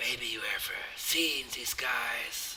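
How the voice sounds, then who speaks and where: A man whispering in a raspy, put-on character voice. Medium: game stream. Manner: halting, many "uh" fillers.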